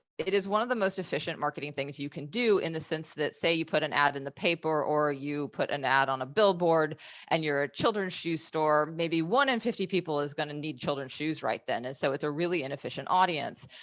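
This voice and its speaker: A woman's very deep, low voice with ordinary pitch variation, at a fairly quick pace with hardly any pauses, over a quiet background. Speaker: marketing agency owner. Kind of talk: webinar presentation. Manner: fast.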